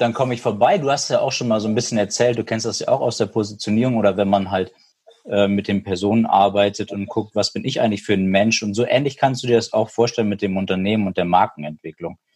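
A man at a very fast pace, fairly low in pitch, with fairly even intonation. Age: 30s. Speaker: hearing aid industry business consultant. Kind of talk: casual interview.

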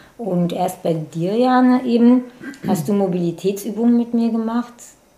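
A woman speaks at a fairly slow pace. Her pitch swings very wide. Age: 50s. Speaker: personal training client. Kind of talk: casual interview.

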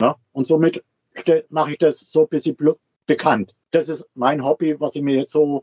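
Moderate pace, long and frequent pauses, and fairly even intonation. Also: man, fairly high pitch for a man. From Switzerland. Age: 60s. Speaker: retiree living full-time in a motorhome. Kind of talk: interview.

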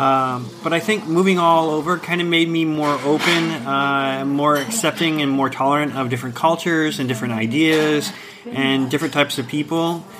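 With an American accent, a man speaks at a moderate pace in a fairly high voice, his pitch varying in an ordinary way over noticeable background noise. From US Midwest and South, Ohio. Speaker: creative professional. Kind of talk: casual interview. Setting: cafe.

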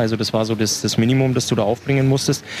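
A man keeps his intonation fairly even amid noticeable background noise. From Upper Bavaria, Waldkraiburg. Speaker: ice hockey player. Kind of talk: casual interview. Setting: outdoors at a market.

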